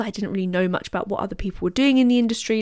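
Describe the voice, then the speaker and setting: A woman with a British accent and a medium pitch speaks with lively intonation. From Britain. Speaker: business coach podcast host. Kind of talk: solo podcast monologue.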